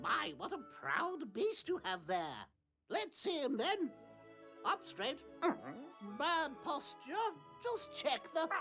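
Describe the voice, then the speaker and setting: Over faint music in the background, a woman does a put-on character voice at a high pitch and fairly slow pace, with long, frequent pauses. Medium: video game. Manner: rambling, chatty.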